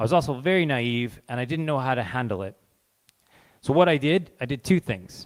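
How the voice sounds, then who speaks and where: With a Canadian accent, a man talks at a fairly quick pace and medium pitch. His pitch varies in an ordinary way, and the sound is dry and close with no echo. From Canada. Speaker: charity representative. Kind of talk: talk to a live audience. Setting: stage with audience. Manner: informal.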